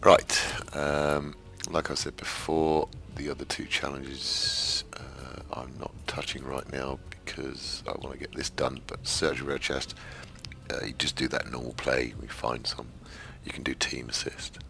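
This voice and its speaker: A man with a British accent speaks at a fairly slow pace. Noticeable background noise runs behind him. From UK. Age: 50s. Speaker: English teacher and gamer. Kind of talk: casual gameplay commentary.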